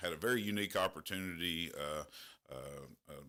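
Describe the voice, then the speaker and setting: On a very clean recording with a silent background, a man speaks in an Appalachian accent with ordinary pitch variation. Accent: southern Appalachian US. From southeastern Kentucky, McCreary County. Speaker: school principal. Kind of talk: radio interview. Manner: halting, many fillers.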